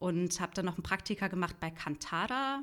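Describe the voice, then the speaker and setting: A woman speaks at medium pitch with a bright, sharp tone. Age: 30s. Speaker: journalist and podcaster. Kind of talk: interview. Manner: halting, many fillers.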